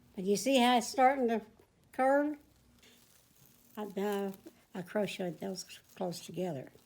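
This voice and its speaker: A woman with a Southern US accent, medium in pitch, with lively intonation at a moderate pace. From Texas. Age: 80s+. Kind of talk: casual conversation, crochet instruction.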